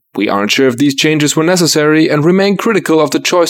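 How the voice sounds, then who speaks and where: Speaking at a very fast pace, a man with a German accent has a fairly high pitch. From Germany. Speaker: community news reader. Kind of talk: scripted news segment.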